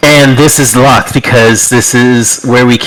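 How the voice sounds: The delivery is a natural reading voice with fairly even intonation.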